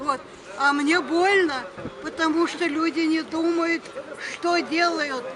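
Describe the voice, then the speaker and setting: Over crowd noise in the background, a woman with an extremely high pitch speaks at a very slow pace, with long, frequent pauses, very even loudness and ordinary pitch variation. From Ukraine. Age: 80s+. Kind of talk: street argument with young activists.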